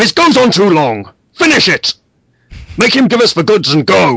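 A put-on character voice bellows at a middle pitch. The pace is moderate. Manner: bellowing, impatient.

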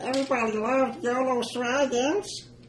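Over clear background noise, a put-on character voice that sounds female talks at a high pitch and moderate pace.

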